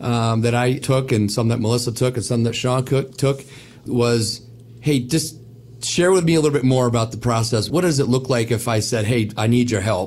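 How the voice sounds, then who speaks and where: A man speaks in a somewhat breathy voice at a moderate pace and medium pitch. His intonation is fairly even and his loudness very even. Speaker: wealth advisor. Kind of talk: casual radio chat.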